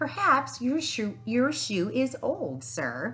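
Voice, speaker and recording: A woman uses a put-on character voice at medium pitch. She speaks at a very slow pace. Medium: read story. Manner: polite, deferential.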